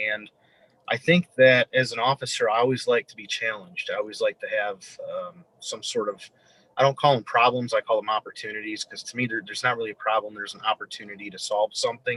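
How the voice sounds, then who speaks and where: With an American accent, a man talks at a very fast pace, his loudness swinging widely, in a dry, close sound with no echo. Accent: northern Midwestern, remarked on by locals. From Michigan (Flint), US Midwest. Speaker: police officer. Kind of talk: interview. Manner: halting, many fillers and repeats.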